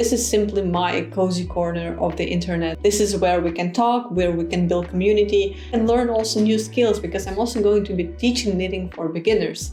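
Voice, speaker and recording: A woman talks at a fairly quick pace over noticeable background noise, with audible room echo. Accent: Ukrainian. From Ukraine. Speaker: knitting content creator. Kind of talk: casual vlog. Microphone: laptop mic.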